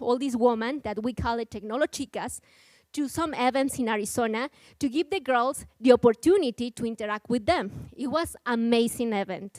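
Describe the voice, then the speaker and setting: With a Mexican accent, a woman speaks in a high, lively voice, recorded very cleanly against a silent background with a dry, close sound and no echo. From Mexico. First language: Spanish. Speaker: nonprofit program coordinator. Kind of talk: conference talk. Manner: halting.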